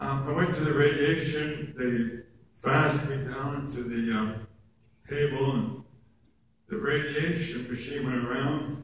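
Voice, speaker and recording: A man's warm-toned voice, fairly high in pitch, at a fairly slow pace with fairly even intonation, over noticeable background noise. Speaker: oral cancer survivor and actor, guest speaker. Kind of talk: personal testimony speech to an audience. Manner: warm, self-deprecating humor.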